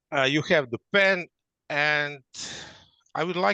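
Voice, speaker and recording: Speaking with a non-native accent at a moderate pace, a man with a fairly high pitch and bright, sharp tone uses ordinary pitch variation, recorded dry and close with no echo against a quiet background. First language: not English. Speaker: workshop presenter. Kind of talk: interactive workshop. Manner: halting.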